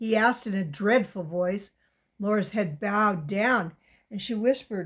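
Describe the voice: The background stays quiet. Someone reads plainly aloud.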